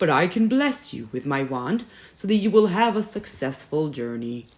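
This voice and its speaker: Using a put-on character voice at middle pitch, the speaker makes very wide pitch swings at a moderate pace. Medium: read story.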